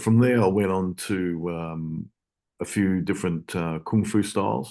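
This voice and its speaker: Over a quiet background, a man with an Australian accent speaks at a very deep, low pitch with ordinary pitch variation. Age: 60s. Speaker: self-defence instructor. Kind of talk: interview. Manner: halting, many fillers.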